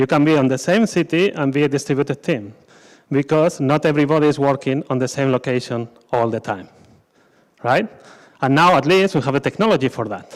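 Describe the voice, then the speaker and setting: With a Spanish accent, a man talks at a fairly quick pace broken by long, frequent pauses, his pitch fairly high with ordinary pitch variation. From Spain. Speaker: scrum master, conference speaker. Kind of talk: conference talk. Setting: stage with audience.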